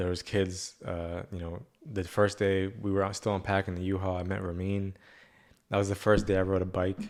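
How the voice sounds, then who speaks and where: A man speaks at a very deep, low pitch at a moderate pace. His intonation is monotone and flat. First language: Spanish. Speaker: podcast host. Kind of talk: casual chat. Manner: halting.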